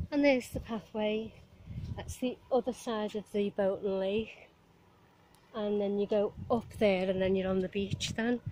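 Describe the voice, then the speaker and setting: A woman with a Liverpool accent at a fairly slow pace. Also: medium pitch for a woman. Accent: Liverpool Scouse, moderate. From Liverpool, England. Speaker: vlogger. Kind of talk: casual vlog monologue while walking. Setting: outdoors, walking by marina. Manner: chatty, rambling, cheerful.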